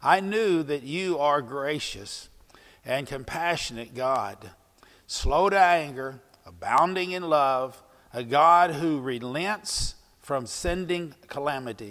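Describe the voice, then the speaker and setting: Very slowly, a man talks while the background stays quiet. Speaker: pastor. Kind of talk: sermon. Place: church. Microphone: lapel.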